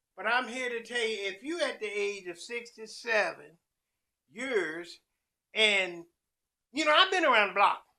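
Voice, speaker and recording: Raised and projected, a man's high voice carries a bright, sharp tone and lively intonation at a fairly slow pace with long, frequent pauses. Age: 60s. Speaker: chef and food truck owner. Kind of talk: casual vlog monologue.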